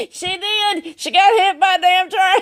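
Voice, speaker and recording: Cackling in a put-on character voice, a woman speaks at a moderate pace with extremely high pitch and fairly even intonation. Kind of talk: comic character monologue. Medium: solo performance. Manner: rambling, repetitive, cackling.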